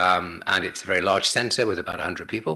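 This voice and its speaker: Over a quiet background, a man talks at a very fast pace in a bright, sharp tone. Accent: British. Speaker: chemistry professor. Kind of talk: lecture. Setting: seminar talk. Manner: halting, many fillers.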